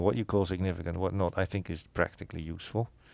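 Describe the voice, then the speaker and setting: Very fast, a man speaks with a very deep, low pitch and ordinary pitch variation. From Netherlands. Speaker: researcher and podcast co-host. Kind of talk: casual chat. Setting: studio.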